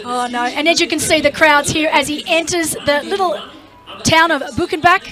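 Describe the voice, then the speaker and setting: Over background music, a woman with an Australian accent projects a raised, high-pitched voice at a moderate pace with ordinary pitch variation. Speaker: triathlon commentator. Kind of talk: live commentary. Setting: studio. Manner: animated.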